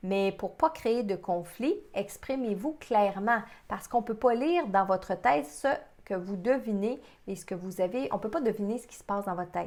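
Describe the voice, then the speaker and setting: A plain, everyday voice with big swings in loudness, lively intonation and a moderate pace. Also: woman, medium pitch for a woman. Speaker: psychic medium. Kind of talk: webinar presentation. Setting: online webinar.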